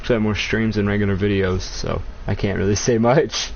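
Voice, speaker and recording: Fairly quick speech from a man, with ordinary pitch variation and noticeable background noise. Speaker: gaming streamer. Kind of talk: live gameplay commentary. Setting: live stream. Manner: stuttering; casual, profane.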